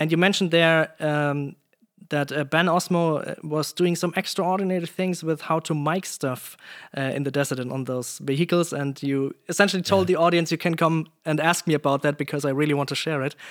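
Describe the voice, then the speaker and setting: A man with a German accent speaks at a fairly high pitch and fairly quick pace, with fairly even intonation on a very clean recording and a silent background. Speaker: podcast host, sound designer. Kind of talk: interview conversation. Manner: halting.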